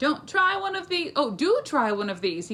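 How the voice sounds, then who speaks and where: A put-on character voice is raised and projected, at a high pitch. It moves at a moderate pace with very wide pitch swings. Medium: read story. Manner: cheeky, self-assured.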